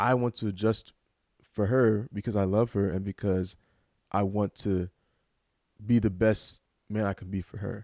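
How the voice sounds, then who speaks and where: A man's fairly low, dark, mellow voice in monotone, flat intonation at a moderate pace with long, frequent pauses, in a very clean recording with a silent background and a dry, close sound with no echo. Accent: American. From Louisiana, Baton Rouge. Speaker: podcast host's fiancé. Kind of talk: casual chat. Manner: calm, soft-spoken.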